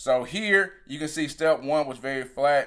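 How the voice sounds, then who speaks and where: Pitch variation in this voice is ordinary. The recording is very clean, with a silent background. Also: man. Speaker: sprint coach. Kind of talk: technical video breakdown. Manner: fast.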